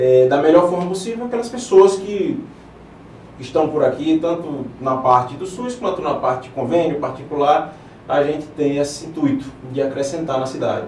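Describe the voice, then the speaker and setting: A man's fairly high, lively voice at a moderate pace, with audible room echo and noticeable background noise. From Paraíba, Brazilian Northeast (João Pessoa). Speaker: interventional radiologist, physician. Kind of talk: TV interview. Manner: hesitant, filler words.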